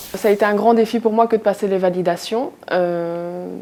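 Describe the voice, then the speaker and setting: A woman speaks at a medium pitch and a moderate pace. She has an unremarkable speaking voice. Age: 20s. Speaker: accounting assistant, former factory worker. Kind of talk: interview answer.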